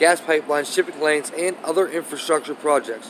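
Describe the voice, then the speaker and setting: A man speaks at a fairly high pitch and a fairly quick pace. Background noise is noticeable. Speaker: YouTube commentator. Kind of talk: reading aloud. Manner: halting.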